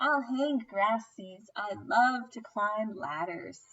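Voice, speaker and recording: A woman uses a put-on character voice with a fairly high pitch. She speaks at a very slow pace. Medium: read story. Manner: eager, cheerful.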